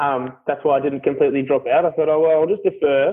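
A man with an Australian accent, fairly high in pitch, fairly quick, with fairly even intonation. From Australia, Melbourne. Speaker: carpenter. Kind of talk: casual interview. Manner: loud.

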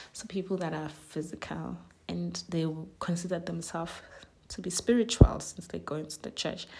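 A woman speaks in a Zulu accent at a moderate pace. Her loudness swings a lot. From South Africa. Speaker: podcast host. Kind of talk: solo reflective monologue.

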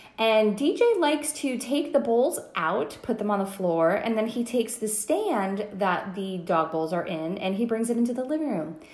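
Speaking at a moderate pace with hardly any pauses, a woman with a fairly high pitch makes very wide pitch swings, and audible room echo surrounds her voice. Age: 30s. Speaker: podcast host. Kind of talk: casual chat.

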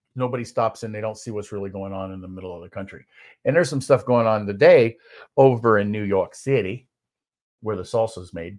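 In a northern US accent, a man speaks at a fairly low pitch. His loudness swings a lot against a quiet background. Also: ordinary pitch variation, fairly quick pace. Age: 50s. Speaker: keynote speaker and podcast co-host. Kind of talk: casual chat. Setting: live stream. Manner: halting.

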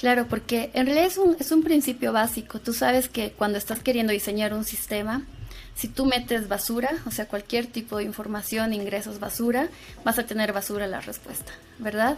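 At a fairly quick pace, a normal speaking voice talks with ordinary pitch variation. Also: woman, fairly high pitch for a woman. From Bolivia (Sucre). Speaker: AI engineer and instructor. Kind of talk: casual interview.

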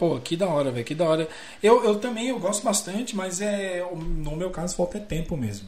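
A man's high-pitched voice with lively intonation, over noticeable background noise. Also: moderate pace. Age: 30s. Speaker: live stream host. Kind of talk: casual chat. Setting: live stream from home.

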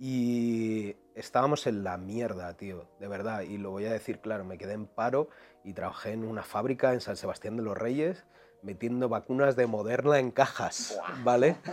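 Loudness swings widely as a man speaks at a moderate pace. His pitch is medium, with ordinary variation. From Madrid, Spain (east, Quintana). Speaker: singer and rapper. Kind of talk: casual chat. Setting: studio with video recording.

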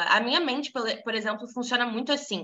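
With a bright, sharp tone and an animated delivery, a woman speaks high-pitched and at a fairly quick pace. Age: 20s. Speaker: women's devotional group leader. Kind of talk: casual devotional talk.

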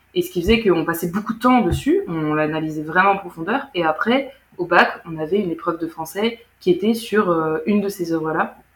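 Speaking at a fairly quick pace, a woman has a normal speaking voice of medium pitch with ordinary pitch variation. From France, German-French bilingual family. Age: 20s. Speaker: former student of a bilingual school. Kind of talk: casual interview.

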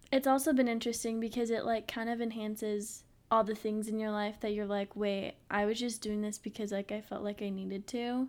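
On a very clean recording with a silent background, a woman speaks fairly quickly with hardly any pauses, in a fairly high pitch and monotone, flat intonation. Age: 20s. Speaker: podcast co-host. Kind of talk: casual chat.

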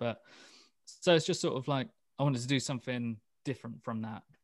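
A man with a British accent, at a fairly quick pace. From UK. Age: 30s. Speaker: death metal musician. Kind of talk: interview. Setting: video call.

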